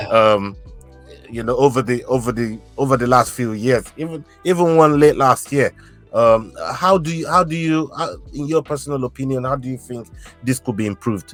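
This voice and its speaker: With music in the background, the speaker sounds enthusiastic, moving at a moderate pace with ordinary pitch variation. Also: man, medium pitch for a man. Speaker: podcast host. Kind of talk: interview host questions. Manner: casual, enthusiastic.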